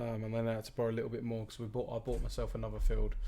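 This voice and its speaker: A man with a British accent at a very fast pace, with audible room echo. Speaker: gaming streamer. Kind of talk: live gameplay commentary. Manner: loud; casual, rambling.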